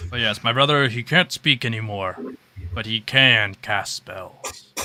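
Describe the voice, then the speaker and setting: Performed in a put-on character voice at a fairly slow pace, the clip is a very clean recording over a silent background. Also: man, medium pitch for a man. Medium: actual play. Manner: earnest, slightly defensive.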